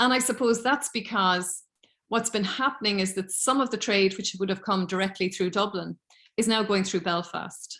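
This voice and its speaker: With a Cork accent, a woman talks at a moderate pace in a medium pitch, her intonation fairly even against a quiet background. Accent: Irish (Cork). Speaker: politics lecturer. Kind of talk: academic seminar Q&A.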